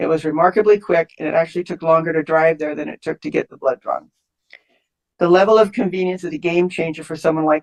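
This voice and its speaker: A woman with an American accent speaks at a very fast pace and a fairly low pitch, her intonation fairly even. Her loudness swings widely, and the sound is dry and close with no echo. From England, then US from age nine. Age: 70s. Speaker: patient speaker at public hearing. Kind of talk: pre-recorded public comment testimony.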